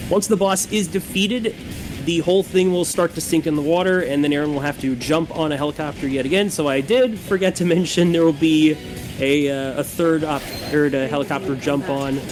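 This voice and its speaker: Over music in the background, a man talks at a fairly quick pace in a fairly high pitch. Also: ordinary pitch variation. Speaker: speedrun commentator. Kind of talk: live commentary. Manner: halting.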